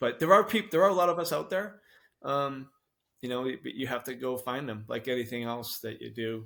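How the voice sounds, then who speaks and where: The speech moves at a moderate pace with big swings in loudness. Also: man, very clean recording, silent background. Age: 60s. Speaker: masters fitness athlete. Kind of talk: podcast interview. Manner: halting, many fillers.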